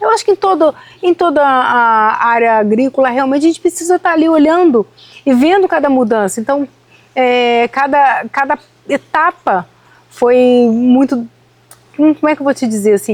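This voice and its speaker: This woman's voice is high-pitched, with lively intonation. She talks at a moderate pace. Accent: Rio de Janeiro. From Rio de Janeiro, Brazil. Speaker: citrus farmer. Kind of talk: podcast interview.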